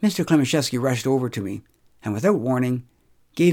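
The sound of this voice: The voice reads in an unforced way. Nothing about the reading is pushed.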